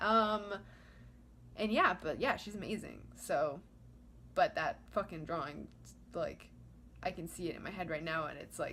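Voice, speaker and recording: Over noticeable background noise, a woman speaks at a moderate pace with big swings in loudness and long, frequent pauses. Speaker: vlogger. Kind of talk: casual monologue. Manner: rambling, filler-heavy.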